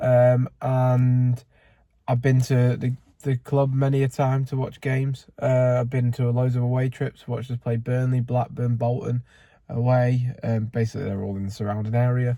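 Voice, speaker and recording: With a northern English accent, a man talks at a moderate pace and medium pitch in a dark, mellow, somewhat breathy tone with monotone, flat intonation. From northern England, near Manchester (Bury). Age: 20s. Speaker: football fan vlogger. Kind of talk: casual vlog monologue. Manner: casual, with frequent fillers.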